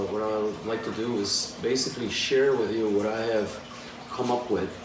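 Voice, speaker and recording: A man speaks with a Polish accent in a monotone, flat delivery. Audible room echo and noticeable background noise are present. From Poland. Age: 40s. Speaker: animal care coach. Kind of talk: self-introduction monologue. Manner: hesitant, many fillers.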